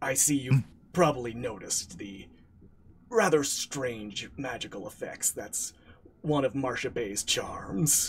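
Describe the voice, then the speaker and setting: A man uses a put-on character voice at medium pitch and a fairly slow pace. His intonation is lively, and his loudness swings widely. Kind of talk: comic mock-mysterious. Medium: actual play. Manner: dryly self-deprecating.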